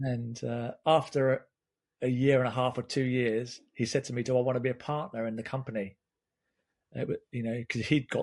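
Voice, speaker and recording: Someone talks at a fairly quick pace with an English accent and monotone, flat intonation. The background is quiet. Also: man. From England. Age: 50s. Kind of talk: casual chat.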